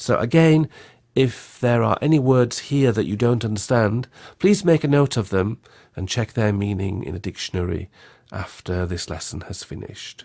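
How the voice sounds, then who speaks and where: With a British accent and lively intonation, a man speaks at a medium pitch in a very clean recording with a silent background. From UK. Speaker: English teacher. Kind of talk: lecture. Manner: slow, clear enunciation.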